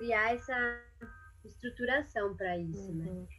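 A woman talks at a moderate pace with a bright, sharp tone. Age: 30s. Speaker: clown and NGO director. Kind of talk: casual interview.

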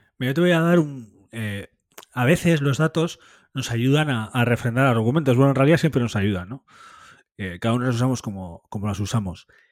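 Against a very clean recording with a silent background, a man uses an ordinary speaking voice with medium pitch and lively intonation. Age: 30s. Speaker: football podcast host. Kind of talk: casual football discussion.

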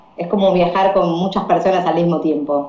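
With audible room echo and noticeable background noise, a woman of medium pitch speaks at a moderate pace. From Argentina. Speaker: English teacher and volunteer traveller. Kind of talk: interview.

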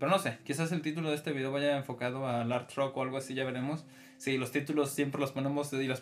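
A man's medium-pitched voice with a Mexican accent, at a very fast pace with fairly even intonation. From Mexico. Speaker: podcast host. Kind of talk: casual chat.

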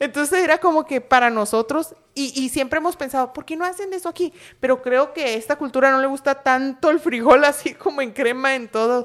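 A woman talks in a high voice at a fairly quick pace. Her pitch varies in an ordinary way. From Sinaloa, Mexico. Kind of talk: casual chat.

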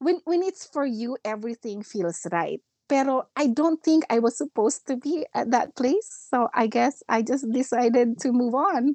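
A woman with a Filipino accent talks at a high pitch and moderate pace with lively intonation and hardly any pauses, the sound dry and close with no echo. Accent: Filipino English, code-switching with Tagalog. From Philippines. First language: Filipino (Tagalog). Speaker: nurse educator and school director. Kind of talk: casual interview chat. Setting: online call.

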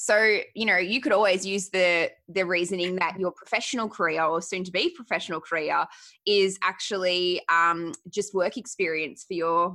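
In a very clean recording with a silent background, a woman with an Australian accent speaks at a medium pitch and a moderate pace, her tone bright and sharp, her pitch variation ordinary, with hardly any pauses. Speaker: dietitian and podcast host. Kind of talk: casual interview chat.

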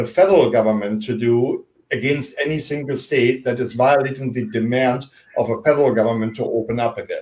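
A man with a German accent, moderate pace, ordinary pitch variation. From Germany. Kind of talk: interview discussion.

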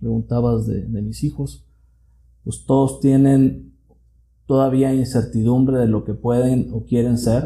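A man's medium-pitched, somewhat breathy voice, dark and mellow in tone, with ordinary pitch variation and a very slow pace. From Mexico, southern Jalisco (Tuxpan). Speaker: mechanical engineer and business owner. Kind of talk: interview.

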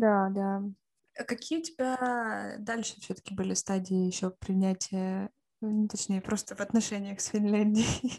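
A woman speaks at a fairly slow pace in a dark, mellow tone. Her pitch sits in the medium range and her intonation stays fairly even. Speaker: podcast co-host. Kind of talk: casual chat.

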